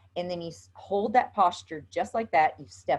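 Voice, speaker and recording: Against a quiet background, a woman speaks with a Southern US accent. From US South. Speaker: yoga instructor. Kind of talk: tutorial. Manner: casual, chatty.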